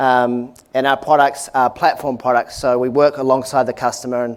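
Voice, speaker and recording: A man with a New Zealand accent, medium pitch, fairly even intonation and a moderate pace. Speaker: tech company executive. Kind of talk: product presentation. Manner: hesitant, many fillers.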